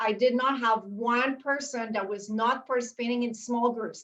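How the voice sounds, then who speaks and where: With a French Canadian accent, a woman speaks in a high pitch and with monotone, flat intonation. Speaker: university instructor. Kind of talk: panel discussion.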